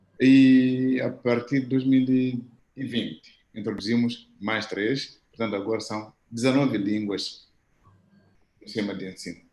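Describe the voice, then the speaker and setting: A man speaks at a very slow pace with fairly even intonation, and the room has an audible echo. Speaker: professor. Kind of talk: audience question at video conference.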